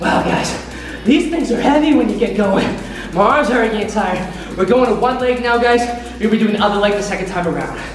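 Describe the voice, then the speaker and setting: Over clear music in the background and audible room echo, a man with a high voice talks at a fairly quick pace with ordinary pitch variation. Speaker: fitness coach. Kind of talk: workout instruction. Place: gym.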